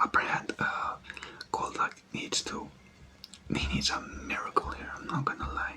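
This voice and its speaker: Someone whispers over noticeable background noise. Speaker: ASMR creator. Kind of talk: whispered ASMR game commentary. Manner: soft-spoken.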